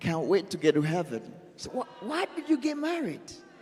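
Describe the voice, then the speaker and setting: Very wide pitch swings from a man at a moderate pace, over noticeable background noise. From Burundi. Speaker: social entrepreneur speaker. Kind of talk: conference talk. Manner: halting.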